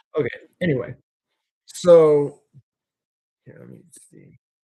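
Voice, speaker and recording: A man speaks at a very slow pace. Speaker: YouTuber hosting live Q&A. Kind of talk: live stream Q&A chat. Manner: halting; sounds mad when explaining viewpoint.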